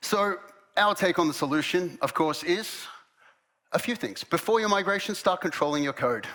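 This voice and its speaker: At a moderate pace, a man with an Australian accent speaks in a bright, sharp tone, high for a man, with ordinary pitch variation. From Australia, Melbourne. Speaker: head of product at a software company. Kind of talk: conference presentation.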